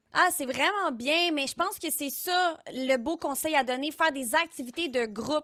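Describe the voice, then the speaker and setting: Animated and bright with a sharp tone, a woman speaks at a high pitch and a moderate pace with ordinary pitch variation, the sound dry and close with no echo in a very clean recording with a silent background. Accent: Quebec. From Quebec, south shore of Montreal. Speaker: streamer and content creator. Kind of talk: live interactive stream hosting.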